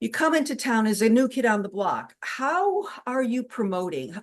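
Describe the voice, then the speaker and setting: A woman's fairly high voice at a moderate pace over noticeable background noise. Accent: New England. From Connecticut, New England. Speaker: cabaret performer and interview host. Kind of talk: casual interview chat.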